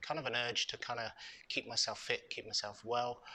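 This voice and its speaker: A man talks in a British accent. His tone is bright and sharp. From UK. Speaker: ex-marine and charity co-founder. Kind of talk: interview. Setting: hotel venue podcast recording. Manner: hesitant, many fillers.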